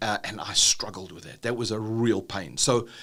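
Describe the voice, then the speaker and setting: The speaker is a man. He talks with a South African accent. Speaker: business trainer, dyslexia and ADHD advocate. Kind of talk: podcast interview. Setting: university facility.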